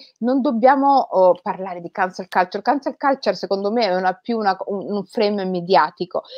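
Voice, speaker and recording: A woman talks in an unremarkable speaking voice. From Rome, Italy. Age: 40s. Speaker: writer. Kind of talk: interview conversation.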